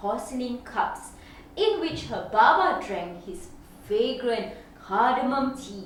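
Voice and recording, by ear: With strong room echo, a woman speaks at a slow pace using big pitch swings.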